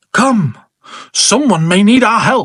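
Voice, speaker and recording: The pitch here is fairly high. The speaker puts on a character voice. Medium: read story.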